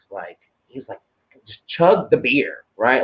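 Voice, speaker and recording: Here a man speaks with a Southern US accent. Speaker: tarot card reader. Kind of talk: casual chat. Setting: live video stream.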